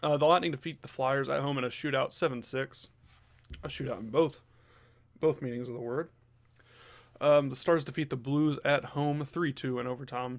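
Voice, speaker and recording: A man with an American accent and fairly high pitch, at a moderate pace with long, frequent pauses and fairly even intonation, on a very clean recording with a silent background. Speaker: sports podcast host. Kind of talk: casual sports news rundown. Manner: hesitant, many fillers.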